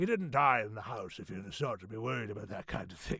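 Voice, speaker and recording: A raspy, put-on character voice from a man, medium-pitched, very fast, with lively intonation. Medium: read story.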